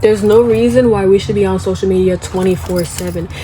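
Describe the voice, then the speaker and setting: A woman talks at a moderate pace as noticeable noise sounds behind her. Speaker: YouTuber. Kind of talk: casual vlog monologue. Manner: casual, conversational.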